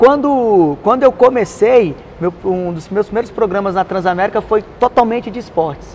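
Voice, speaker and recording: High-pitched male speech with ordinary pitch variation and noticeable background noise. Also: moderate pace, hardly any pauses. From Brasília, Brazil. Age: 30s. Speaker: radio presenter. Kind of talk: interview answer. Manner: casual, conversational.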